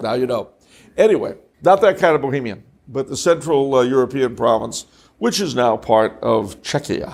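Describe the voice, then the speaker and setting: At a moderate pace, a man with a medium-pitched voice speaks with lively intonation on a very clean recording with a silent background. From Los Angeles, California. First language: French. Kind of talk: talk to an audience. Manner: conversational with jokes and asides.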